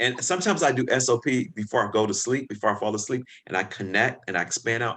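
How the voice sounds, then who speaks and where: A man speaks with a slight Southern US accent and a bright, sharp tone. The background is quiet. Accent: slight Southern drawl. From Chicago, US. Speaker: podcast guest, spiritual practitioner. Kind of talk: casual interview chat. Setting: video call.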